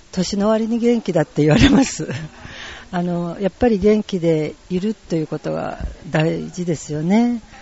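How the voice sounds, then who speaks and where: Noticeable noise sits behind speech delivered at a fairly slow pace. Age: old. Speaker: tai chi club representative. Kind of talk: interview. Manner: halting.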